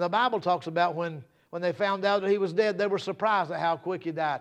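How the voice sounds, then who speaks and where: With an animated tone and ordinary pitch variation, a man speaks at a high pitch over a quiet background. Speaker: preacher. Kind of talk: sermon. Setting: church service. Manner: impassioned, building intensity, hammering repeated phrases for emphasis; animated, conversational.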